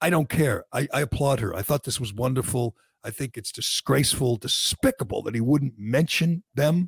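A man speaks at medium pitch and a moderate pace, somewhat breathy, with ordinary pitch variation. The sound is dry and close, with no echo. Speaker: podcast host. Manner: sarcastic, mocking; opinionated, fired-up.

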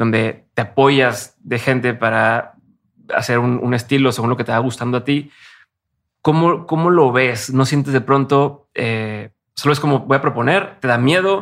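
In a normal speaking voice, a man talks at medium pitch with ordinary pitch variation. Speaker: podcast host. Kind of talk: interview.

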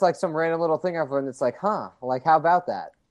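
Pitched fairly high, a man talks in an ordinary speaking voice. His pitch variation is ordinary. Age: 20s. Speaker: sports reporter. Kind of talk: casual interview.

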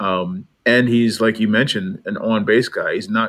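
On a very clean recording with a silent background, a man with an American accent speaks at a moderate pace and a medium pitch, his tone bright and sharp and his intonation fairly even. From New England, US. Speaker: baseball beat reporter. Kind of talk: casual chat.

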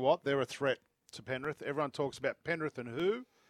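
In an Australian accent, a man speaks with an animated tone and ordinary pitch variation, the sound dry and close with no echo on a very clean recording with a silent background. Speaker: radio host. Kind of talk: live sports radio chat. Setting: outdoors at cricket oval. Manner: jokey, animated.

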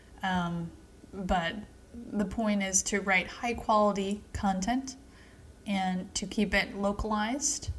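A woman speaks at a very slow pace, with long, frequent pauses and a somewhat breathy voice. Her pitch is medium and her intonation fairly even. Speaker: podcast co-host. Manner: joking, playful.

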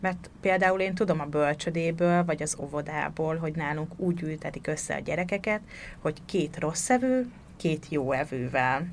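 This is a plain, everyday voice with ordinary pitch variation, delivered at a moderate pace. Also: woman, fairly low pitch for a woman. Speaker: podcast co-host, mother. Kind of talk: casual conversation.

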